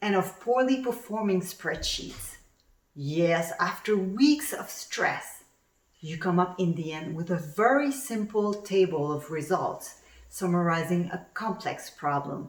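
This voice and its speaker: With a Quebec accent, a woman speaks at a medium pitch and fairly slow pace, her intonation lively. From Quebec, Montreal area. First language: French. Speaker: actuary turned coach and speaker. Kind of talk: conference talk. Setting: virtual summit presentation.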